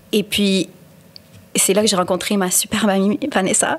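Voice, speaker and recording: A woman of medium pitch talks at a fairly quick pace. Noticeable background noise runs behind her. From Quebec. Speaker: podcast co-host. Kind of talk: casual chat. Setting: studio. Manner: code-switching French and English.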